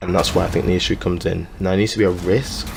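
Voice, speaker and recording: A man whispers quietly. Music plays in the background. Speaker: gaming YouTuber. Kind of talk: gaming commentary voice-over. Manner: quiet, near whisper.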